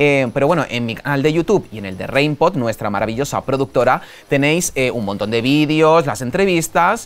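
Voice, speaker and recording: The delivery is animated, with lively intonation and hardly any pauses. The pace is moderate. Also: man, fairly high pitch for a man. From Spain. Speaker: podcast host. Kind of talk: casual interview chat. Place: studio. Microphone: lapel.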